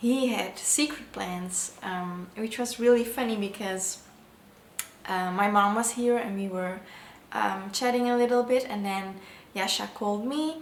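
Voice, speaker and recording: There is audible room echo and noticeable background noise. A woman speaks at a fairly slow pace and medium pitch with ordinary pitch variation. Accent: non-native. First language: not English. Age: 20s. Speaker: vlogger. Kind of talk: casual vlog narration.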